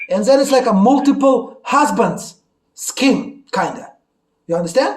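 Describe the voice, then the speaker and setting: A man speaks in an animated tone at a fairly slow pace. His pitch is extremely high, with ordinary pitch variation. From Russia. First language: Russian. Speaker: YouTuber. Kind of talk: casual chat.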